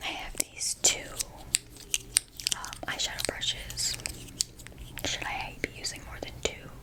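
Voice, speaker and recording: Whispering over noticeable background noise, a woman speaks at a fairly slow pace with long, frequent pauses. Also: big swings in loudness. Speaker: ASMR creator. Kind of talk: ASMR makeup tutorial. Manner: whispered.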